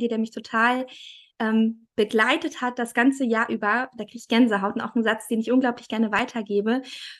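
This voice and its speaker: A woman speaks at a high pitch in a monotone, flat intonation, at a moderate pace. The background is quiet. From Thuringia, Germany. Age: 30s. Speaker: family photographer. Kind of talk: casual interview.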